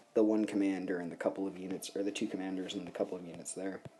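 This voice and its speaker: The voice is quiet, with a dark, mellow tone. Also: man. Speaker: gaming commentator. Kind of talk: gameplay commentary. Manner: quiet, subdued.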